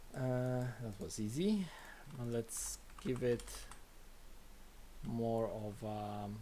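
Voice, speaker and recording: Mumbling with a dark, mellow tone, a man at a medium pitch with ordinary pitch variation speaks at a very slow pace with long, frequent pauses amid audible room echo. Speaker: game developer streaming. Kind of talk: live coding stream. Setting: live stream.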